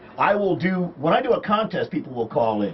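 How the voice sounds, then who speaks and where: A man speaks with lively intonation and an American accent. Noticeable background noise runs underneath. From Chicago. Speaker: talk radio host. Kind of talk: casual talk in studio. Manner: wry, joking.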